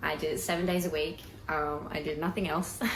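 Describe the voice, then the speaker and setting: At a moderate pace, a speaker with an Australian accent is heard amid audible room echo and noticeable background noise. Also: woman. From Queensland, Australia (Rockhampton). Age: 20s. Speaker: country singer. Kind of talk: pre-recorded personal introduction.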